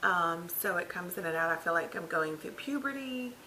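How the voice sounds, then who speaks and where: Against audible room echo, a woman speaks at a fairly slow pace with ordinary pitch variation. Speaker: vlogger. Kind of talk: casual vlog update. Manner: halting, many fillers.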